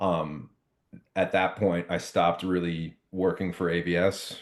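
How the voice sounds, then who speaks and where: Against a quiet background, a man with an American accent speaks in a very deep, low pitch with monotone, flat intonation. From Long Island, New York. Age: 30s. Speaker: hardcore band musician and venue lighting technician. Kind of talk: casual interview chat. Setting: podcast interview. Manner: many fillers and restarts.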